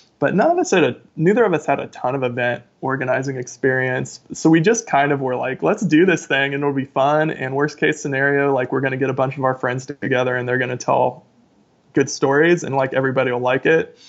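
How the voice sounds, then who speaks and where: With an American accent and an unremarkable speaking voice, a man talks fairly quickly at a fairly high pitch, his pitch varying in an ordinary way. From rural Ohio, US Midwest. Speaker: author and podcast host. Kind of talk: casual interview.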